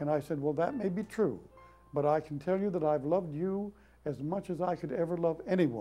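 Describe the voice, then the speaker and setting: With music in the background, the speaker goes at a fairly quick pace with ordinary pitch variation. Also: man. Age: 80s+. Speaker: performer, poet, mime, author. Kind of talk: interview answer.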